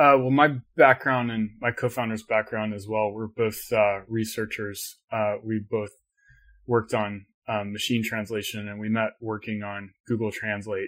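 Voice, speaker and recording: On a very clean recording with a silent background, a man's fairly low voice stays monotone and flat. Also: moderate pace. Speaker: tech company CEO. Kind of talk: interview conversation.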